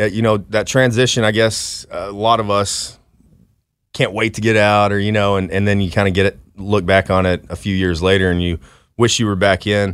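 A man with an American accent speaks at a fairly low pitch and a moderate pace, in a monotone with flat intonation. The recording is very clean with a silent background. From Dallas, Texas. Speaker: Marine veteran. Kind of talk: interview.

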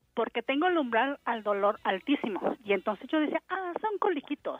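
A woman's high voice with very wide pitch swings, at a moderate pace. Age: 40s. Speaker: caller, housewife. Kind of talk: casual phone chat, telling a personal story.

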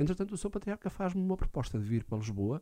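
Somewhat breathy, dark, mellow tone at a fairly quick pace with ordinary pitch variation, on a very clean recording with a silent background. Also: man. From Portugal, Alcobaça. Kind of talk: radio interview. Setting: radio studio.

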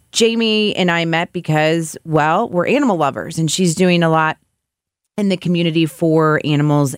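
Recorded with a dry, close sound and no echo, a woman speaks at a very deep, low pitch. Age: 40s. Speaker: podcast host. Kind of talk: casual chat.

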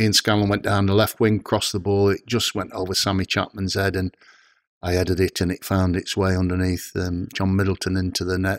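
Very deep and low, a man's voice runs in a flat monotone at a fairly quick pace, with a dry, close sound, no echo, and a very clean recording over a silent background. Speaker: retired footballer. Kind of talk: interview. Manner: halting.

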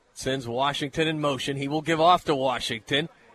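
This man's voice has a bright, sharp tone and fairly high pitch. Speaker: radio play-by-play announcer. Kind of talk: live radio play-by-play of a high school football game. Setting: stadium press box broadcast. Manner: brisk, flowing yard-by-yard call, rising with excitement on big plays; folksy, conversational between plays.

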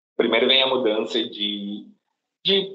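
There is audible room echo as a man at a medium pitch speaks at a very slow pace. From interior of São Paulo state, Brazil. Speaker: corporate trainee. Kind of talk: interview. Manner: halting, many fillers.

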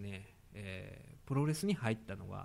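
A man talks at a moderate pace in a Kansai accent. His intonation is lively. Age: 30s. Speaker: podcast host. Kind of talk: casual chat. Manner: animated.

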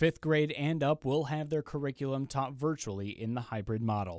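In an unremarkable speaking voice, a man talks at a fairly quick pace and medium pitch with lively intonation, on a very clean recording with a silent background. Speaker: radio news anchor. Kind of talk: news reading. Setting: studio.

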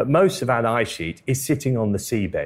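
On a very clean recording with a silent background, a man speaks with very wide pitch swings and vocal fry. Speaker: climate scientist. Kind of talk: live interview. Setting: stage with audience.

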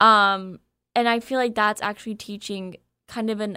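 In a very clean recording with a silent background, a woman speaks at a moderate pace and medium pitch. Her tone is bright and sharp yet clear and smooth, with fairly even intonation.

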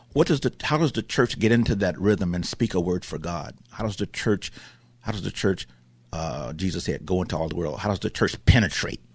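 A man with a very deep, low pitch talks at a fairly quick pace in an animated tone. His intonation is lively over a quiet background. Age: 70s. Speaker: pastor. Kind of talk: radio interview. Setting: studio.

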